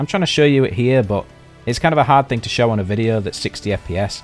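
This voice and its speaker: Lively intonation marks a man's speech while music plays in the background. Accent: British. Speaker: video game reviewer. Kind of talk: game review narration. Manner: casual.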